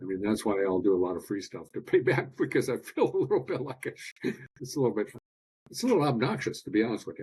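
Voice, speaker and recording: At a very fast pace, a man talks at a medium pitch in a somewhat breathy voice. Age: 60s. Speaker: biological dentist. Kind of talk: podcast interview.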